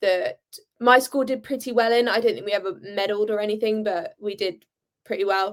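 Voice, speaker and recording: A woman talks in a British accent. Her intonation is fairly even. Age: young. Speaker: handball player. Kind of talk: interview.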